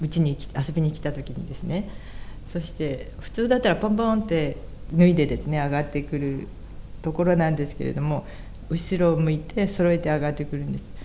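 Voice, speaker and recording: With audible room echo, a woman with a very deep, low pitch talks at a fairly quick pace and ordinary pitch variation. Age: 60s. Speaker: church member, interviewee. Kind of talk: interview testimony.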